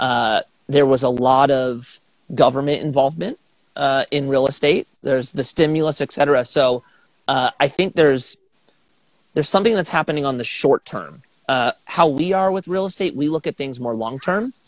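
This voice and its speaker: On a very clean recording with a silent background, a man with a fairly high pitch speaks at a moderate pace in an unremarkable speaking voice. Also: ordinary pitch variation, dry, close sound with no echo. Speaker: pro skateboarder turned real estate investor. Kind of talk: casual interview.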